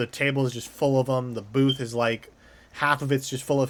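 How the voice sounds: A reading voice with a natural sound fills the recording.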